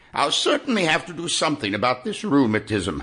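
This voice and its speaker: A man puts on a character voice, pitched fairly high and talking at a fairly quick pace. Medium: read story.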